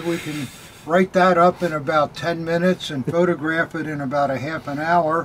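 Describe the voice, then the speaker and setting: With noticeable background noise, a man talks at a moderate pace in a fairly high voice. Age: 80s+. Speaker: militaria dealer. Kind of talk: casual chat. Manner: halting.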